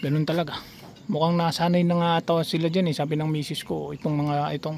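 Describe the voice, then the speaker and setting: Noticeable background noise runs through the clip. The speaker is a man. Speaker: pigeon keeper vlogger. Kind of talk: casual vlog. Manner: soft-spoken.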